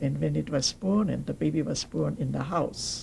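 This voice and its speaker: A woman with a German accent at a moderate pace. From Germany, Nuremberg. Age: 80s+. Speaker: Holocaust survivor. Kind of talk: oral history interview. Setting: recorded interview on camera.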